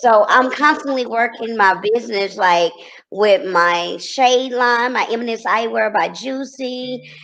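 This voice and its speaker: Her background is quiet as a woman with a slight Texas accent speaks at a fairly slow pace. Her fairly high pitch shows ordinary pitch variation. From Texas, Corsicana. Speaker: TV personality and entrepreneur. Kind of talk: interview.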